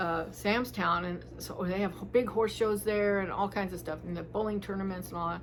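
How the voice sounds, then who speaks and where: The speech runs at a moderate pace with hardly any pauses and fairly even intonation, and audible room echo is present. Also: woman, medium pitch for a woman. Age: 60s. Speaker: retired hospital worker and harpist vlogger. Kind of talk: casual chat. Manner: rambling, halting with fillers.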